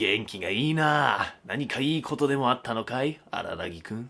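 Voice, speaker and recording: A man puts on a playful, growling character voice at a medium pitch. He moves at a fairly quick pace with lively intonation. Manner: satisfying, playful impression.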